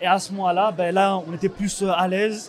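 Crowd noise fills the background. Over it, a man talks at a high pitch. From France, Paris suburbs (Saint-Ouen). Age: 20s. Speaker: young photographer. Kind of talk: interview.

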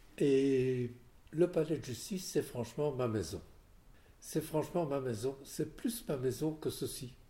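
Pausing long and often, a man with a medium pitch and a dark, mellow, somewhat breathy tone speaks at a fairly slow pace with ordinary pitch variation. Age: 80s+. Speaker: lawyer. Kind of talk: interview. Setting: at home.

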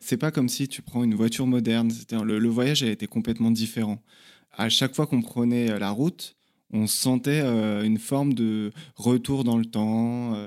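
The recording is very clean, with a silent background. A man speaks at a moderate pace and medium pitch, his intonation fairly even. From Paris region, France. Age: 30s. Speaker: traveller, former restaurant worker. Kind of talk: interview testimony. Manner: hesitant, many fillers.

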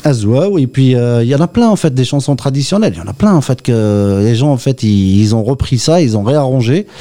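The voice has lively intonation. Its tone is dark and mellow. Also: man, medium pitch for a man, moderate pace. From Oran, Algeria. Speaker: guitarist. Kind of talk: interview.

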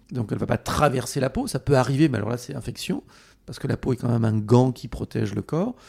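Speaking at a very fast pace, a man sounds somewhat breathy at a medium pitch. His pitch variation is ordinary, and the sound is dry and close with no echo. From France, Haute-Corrèze. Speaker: pedicure expert and brand founder. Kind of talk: interview.

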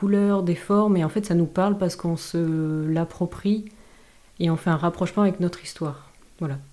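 A woman's fairly low voice at a moderate pace, fairly even in intonation. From southwest France (Dax). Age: 20s. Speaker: visual artist. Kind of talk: interview. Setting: host's office. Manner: halting.

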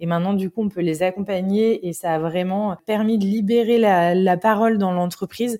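A woman's dark, mellow tone at a moderate pace, with fairly even intonation and hardly any pauses. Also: medium pitch for a woman. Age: 30s. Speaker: UX designer and parenting-at-work initiative co-founder. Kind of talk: podcast interview.

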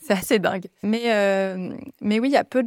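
A woman talks at a fairly slow pace in a plain, everyday voice, medium in pitch with fairly even intonation. The sound is dry and close with no echo. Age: 30s. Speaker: yoga teacher and physiotherapist. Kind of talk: casual interview chat.

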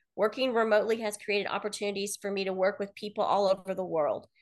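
Against a quiet background, a woman with a Midwestern American accent speaks at a medium pitch. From US Midwest, Kansas City, Missouri. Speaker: marketing professor and researcher. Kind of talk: interview.

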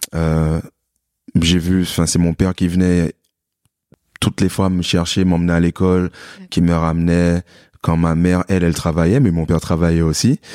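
A man's very deep, low voice with a dark, mellow tone and monotone, flat intonation at a moderate pace, in a very clean, dry, close recording with no echo and a silent background. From Martinique. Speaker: fitness coach. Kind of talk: casual chat.

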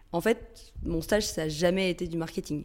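Speaking fairly slowly, a woman keeps a fairly low pitch and fairly even intonation. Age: 30s. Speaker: communications director. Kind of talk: interview. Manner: hesitant with fillers.

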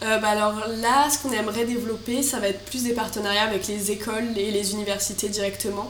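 A woman talks at a very fast pace with a fairly high pitch and fairly even intonation. Noticeable background noise and audible room echo fill the recording. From Marseille, southern France. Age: 20s. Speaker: business student and startup founder. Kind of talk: interview.

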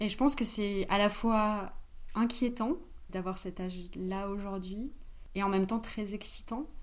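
At a fairly slow pace, a woman of medium pitch speaks with fairly even intonation and long, frequent pauses. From France, Grenoble. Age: 30s. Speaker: co-founder of an ethical e-commerce platform. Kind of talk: casual interview.

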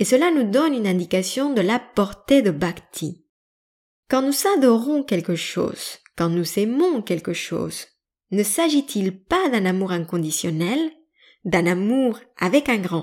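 A woman's medium-pitched voice with very wide pitch swings at a very slow pace, on a very clean recording with a silent background. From Mexican family background. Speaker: yoga teacher and podcaster. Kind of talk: educational monologue.

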